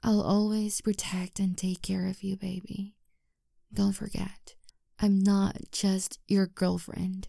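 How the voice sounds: Using a put-on character voice, a woman speaks slowly at a medium pitch with little pitch movement, a dark, mellow tone and vocal fry, on a very clean recording with a silent background.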